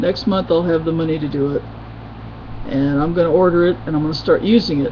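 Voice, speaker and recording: Someone with an American accent talks at a very fast pace with ordinary pitch variation, and noticeable background noise can be heard. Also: woman, very deep, low pitch for a woman. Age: 50s. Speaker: video blogger. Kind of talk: casual webcam vlog.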